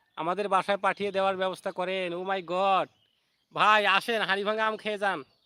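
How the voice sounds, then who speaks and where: In a dry, close sound with no echo, a man projects a raised voice with a bright, sharp tone. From Bangladesh, Rangpur. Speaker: YouTuber. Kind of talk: live stream chat. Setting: outdoors, garden. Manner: repetitive.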